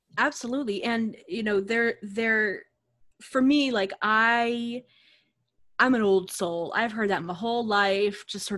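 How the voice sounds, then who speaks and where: A woman talks in an ordinary speaking voice with an American accent and fairly even intonation. She goes at a fairly slow pace in a very clean recording with a silent background. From Boston area, Massachusetts. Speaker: yoga teacher, studio founder. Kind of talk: casual interview chat.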